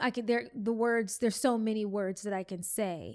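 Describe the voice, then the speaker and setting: A woman with a fairly high voice speaks at a fairly slow pace and with fairly even intonation, in a very clean recording against a silent background. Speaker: podcast host. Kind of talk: reflective solo podcast monologue.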